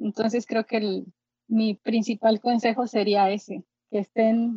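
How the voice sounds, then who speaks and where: A somewhat breathy woman at a fairly high pitch, with fairly even intonation and a fairly slow pace. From Mexico, Xalapa, Veracruz. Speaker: pianist and musicologist. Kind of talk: interview.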